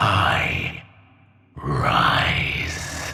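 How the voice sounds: Over faint music in the background, a man performs a put-on character voice, extremely low and very slow, with a bright, sharp tone, vocal fry, and big pitch swings.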